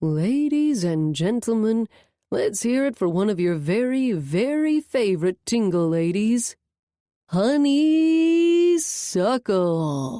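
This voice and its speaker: A female-sounding, put-on character voice at a fairly high pitch, very wide pitch swings and a very slow pace. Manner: showy, introducing an act.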